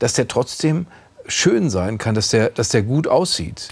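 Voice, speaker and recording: An ordinary speaking voice moves at a moderate pace with lively intonation against a quiet background. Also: man. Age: 50s. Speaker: TV interviewer. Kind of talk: interview.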